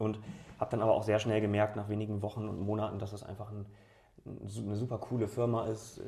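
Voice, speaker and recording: Fairly quick and somewhat breathy, a man speaks with a fairly low pitch, a dark, mellow tone and monotone, flat intonation. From Bremen, northern Germany. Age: 30s. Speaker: regional politician and entrepreneur. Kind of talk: interview. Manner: hesitant with fillers.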